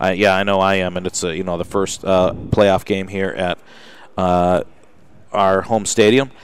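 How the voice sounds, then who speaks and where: A man speaks with an American accent in a very deep, low voice. His intonation is fairly even. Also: moderate pace. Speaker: radio sports show host. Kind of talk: casual sports talk show. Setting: live broadcast from car showroom. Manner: hesitant, many fillers.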